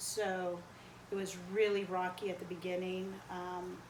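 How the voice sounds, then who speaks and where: A woman with an American accent at a very slow pace, with audible room echo and noticeable background noise. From US Northeast, New Jersey (Perth Amboy), Cuban family. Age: 40s. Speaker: interviewee. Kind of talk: interview. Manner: hesitant, many fillers.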